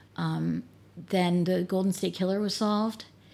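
A woman's voice comes through on a very clean recording against a silent background. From US Northeast (New Jersey, New York, Pennsylvania). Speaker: church member, genealogist. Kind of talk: casual interview.

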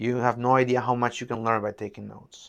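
The speaker has a Peruvian accent and talks at a fairly quick pace. The background is quiet. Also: man. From Peru, Lima. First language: Spanish. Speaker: neurosurgeon. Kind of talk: interview. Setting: in-person in an office.

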